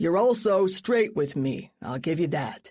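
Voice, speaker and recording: This put-on character voice is gruff and growling, set at a middle pitch. It moves at a fairly slow pace. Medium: read story. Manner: blunt, gruff, profane.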